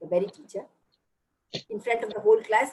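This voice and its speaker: A woman with a Tamil accent speaks with very wide pitch swings. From Bihar, India, then Chennai. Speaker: motivational speaker. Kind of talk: motivational talk.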